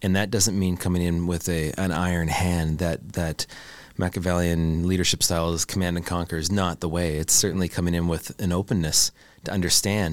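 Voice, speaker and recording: Flat, monotone delivery at a fairly quick pace in a Canadian accent, on a very clean recording with a silent background. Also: man, very deep, low pitch for a man. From Canada. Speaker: product executive and brand builder. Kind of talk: casual interview conversation. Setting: studio.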